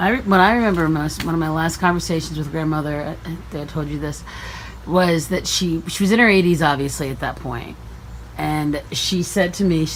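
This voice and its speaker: A woman speaks at a fairly quick pace. Noticeable background noise and audible room echo are present. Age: 50s. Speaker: family member interviewer. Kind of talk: family oral history interview.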